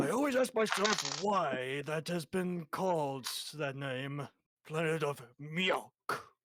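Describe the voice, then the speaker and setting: Using a put-on character voice, a man speaks at a fairly slow pace in a fairly high pitch with lively intonation. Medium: actual play. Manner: casual, chatty.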